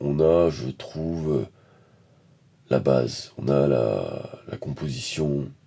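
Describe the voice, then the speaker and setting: A soft-spoken man with a very deep, low voice. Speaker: painter. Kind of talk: casual talk to camera about painting. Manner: halting, many hesitations.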